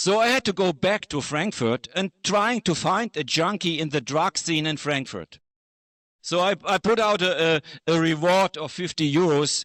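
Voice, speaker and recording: On a very clean recording with a silent background and a dry, close sound with no echo, a man speaks at a high pitch with ordinary pitch variation. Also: moderate pace. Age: 70s. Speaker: photojournalist. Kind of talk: exhibition talk. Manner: halting.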